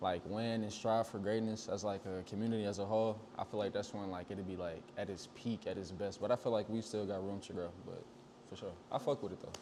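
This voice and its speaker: Fairly low in pitch, a man speaks at a fairly quick pace. His intonation is flat and monotone. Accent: St. Louis. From St. Louis, Missouri. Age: 20s. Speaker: clothing designer. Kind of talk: interview. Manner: casual, filler-heavy.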